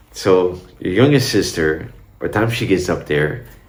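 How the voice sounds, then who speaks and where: A man's lively intonation in audible room echo. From Brazil, Minas Gerais. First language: Portuguese. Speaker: vlogger. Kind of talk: casual talk to camera. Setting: home recording, in Dubai. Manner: casual, rambling.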